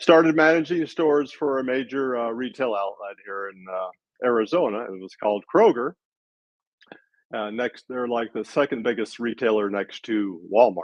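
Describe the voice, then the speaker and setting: This man has a medium-pitched voice with lively intonation and big swings in loudness. His pace is moderate. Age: 60s. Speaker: retired retail manager, online entrepreneur. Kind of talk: interview answers. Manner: halting, many filler words.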